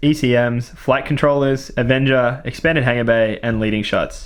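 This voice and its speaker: With an Australian accent, a man talks at a fairly quick pace and ordinary pitch variation. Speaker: tabletop wargame channel host. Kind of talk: game battle report commentary. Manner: casual, many filler words.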